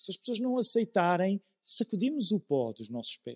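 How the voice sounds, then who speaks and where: A man's high-pitched voice at a moderate pace, with very wide pitch swings and a dry, close sound with no echo. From Portugal, Amadora (Lisbon area). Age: 40s. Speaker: pastor. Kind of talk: sermon.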